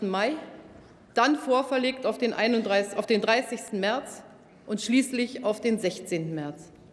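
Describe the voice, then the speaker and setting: A woman speaks very slowly, her pitch varying in an ordinary way. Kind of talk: formal parliamentary speech. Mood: serious, measured. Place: hall. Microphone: podium.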